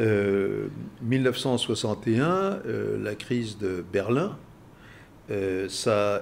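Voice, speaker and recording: This man speaks with a fairly low pitch. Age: 80s+. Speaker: international relations expert. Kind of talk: interview. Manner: halting, frequent hesitations.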